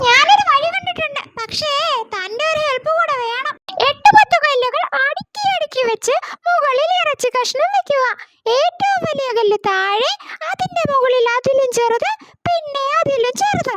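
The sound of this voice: A cartoonish character voice with an extremely high pitch proceeds at a fairly slow pace.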